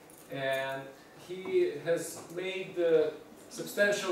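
A man's fairly high-pitched voice with audible room echo.

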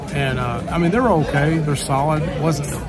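A man's voice with music in the background. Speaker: family vlogger. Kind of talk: casual vlog chat. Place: cafe. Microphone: phone near.

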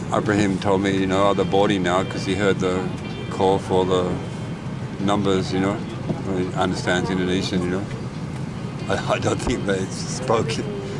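Music plays in the background as a man speaks at a moderate pace with long, frequent pauses. The sound is dry, with no echo. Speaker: traveller vlogger. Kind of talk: casual vlog chat. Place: plane. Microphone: phone near.

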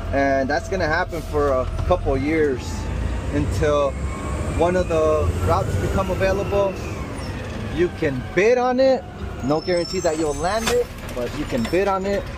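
A man with very wide pitch swings, moderate in pace, long, frequent pauses, noticeable background noise. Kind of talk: casual vlog chat. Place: farm machine. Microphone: earbuds.

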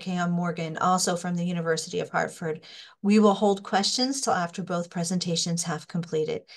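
At a fairly quick pace, a woman speaks in a medium pitch, somewhat breathy, with fairly even intonation. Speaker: professor. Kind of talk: webinar moderation. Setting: video call.

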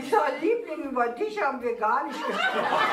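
Audible room echo and light background noise surround the recording. A woman talks at a fairly quick pace. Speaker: cabaret artist. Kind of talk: cabaret joke telling. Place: stage.

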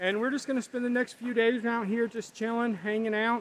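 A man speaks in a dry sound with no echo, with light background noise behind him. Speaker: camping vlogger. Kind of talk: casual vlog chat. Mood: relaxed, reflective. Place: forest. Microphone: phone near.

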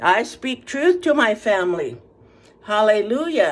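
Her pitch swings very widely. The speaker is a woman. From Paiute community, western US. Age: 70s. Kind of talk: sermon-like testimony and prayer. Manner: animated; blunt, fervent. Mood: impassioned, religious fervor. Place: home room. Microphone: phone near.

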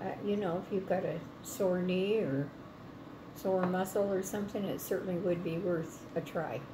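Over noticeable background noise, a woman talks at a fairly slow pace with fairly even intonation and long, frequent pauses. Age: old. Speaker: grandmother reviewing product. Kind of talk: interview answer. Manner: casual, hesitant. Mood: calm, relaxed. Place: kitchen. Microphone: phone near.

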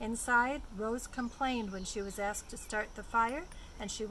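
Someone is reading aloud in a natural voice. That is the whole delivery.

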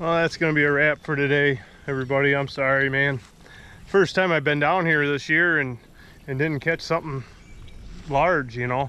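A bright, sharp tone carries fairly even intonation at a moderate pace, broken by long, frequent pauses. The sound is dry with no echo. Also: man. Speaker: fishing vlogger. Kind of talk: casual vlog chat. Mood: relaxed, a bit disappointed. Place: waterside. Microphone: phone near.

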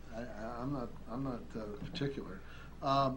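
A man's voice comes through somewhat breathy. Light background noise is heard. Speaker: county commissioner. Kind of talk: public meeting discussion. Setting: council chamber. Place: hall. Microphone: podium.

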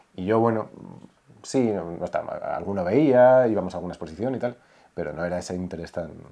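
A man with a dark, mellow tone and fairly low pitch speaks at a fairly quick pace with ordinary pitch variation and long, frequent pauses. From Spain. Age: 30s. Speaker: son of a late artist; interview guest. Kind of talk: casual interview chat. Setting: his home. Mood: calm, reflective. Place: home room. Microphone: lapel.

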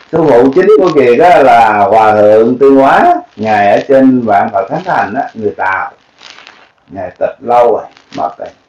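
At a fairly slow pace, a man speaks amid audible room echo. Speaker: Buddhist teacher speaking to followers. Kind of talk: casual spoken talk. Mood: sad, reflective.

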